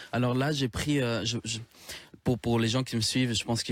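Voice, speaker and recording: A man with a Spanish accent, at a fairly quick pace and with fairly even intonation. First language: Spanish (speaking French). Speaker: singer-songwriter. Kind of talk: radio interview.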